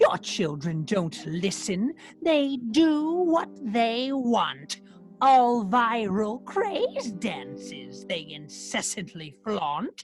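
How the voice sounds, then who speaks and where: The speaker uses a put-on character voice at a very slow pace. Faint music plays in the background. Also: female-sounding voice, fairly high pitch for a woman. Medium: read story.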